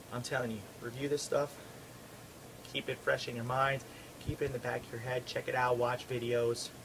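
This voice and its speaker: A man with an American accent at a fairly quick pace, medium-pitched and monotone with flat intonation, long and frequent pauses, and noticeable background noise. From New York. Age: 20s. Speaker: martial arts instructor. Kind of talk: instructional monologue. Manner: fast.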